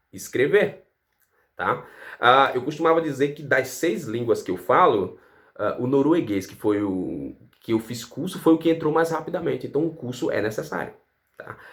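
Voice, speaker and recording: With long, frequent pauses, a man speaks at a moderate pace and fairly high pitch, his intonation lively, his loudness swinging widely, and vocal fry in his voice. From Brazil. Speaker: English teacher. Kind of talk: casual educational vlog.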